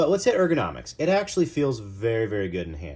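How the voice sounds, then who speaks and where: This is a man speaking. He has an American accent. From US Midwest. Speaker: knife reviewer. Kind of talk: product review. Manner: casual, chatty.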